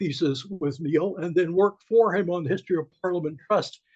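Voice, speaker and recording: Pitched high, a man speaks with ordinary variation in his pitch. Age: 80s+. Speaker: historian. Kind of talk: audience question at a book talk. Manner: halting, many fillers.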